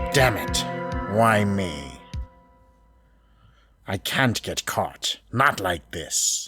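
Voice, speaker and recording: Faint music plays in the background. Over it, a put-on character voice speaks at a very slow pace. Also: man, fairly low pitch for a man. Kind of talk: video game fan dub. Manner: frantic.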